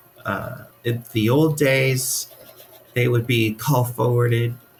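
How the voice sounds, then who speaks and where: Through noticeable background noise, a man with an American accent speaks very slowly. His pitch is medium, his intonation fairly even. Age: 60s. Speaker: funeral director. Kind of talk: podcast interview. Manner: hesitant, many fillers.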